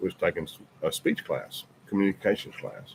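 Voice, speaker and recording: With a strong Southern US accent, a man speaks at a moderate pace. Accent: deep Southern. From US South, Birmingham, Alabama. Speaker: podcast host, military veteran. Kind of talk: casual chat.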